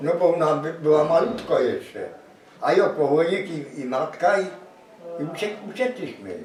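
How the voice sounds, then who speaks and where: With long, frequent pauses, a man speaks in a high pitch and lively intonation, over noticeable background noise and audible room echo. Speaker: war witness. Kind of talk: interview testimony. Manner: halting.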